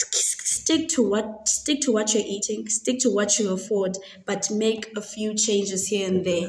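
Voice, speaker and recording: A woman talks fairly slowly as noticeable background noise carries on. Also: medium pitch for a woman, ordinary pitch variation. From South Africa, Eastern Cape (Queenstown). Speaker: dietetics student. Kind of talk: interview.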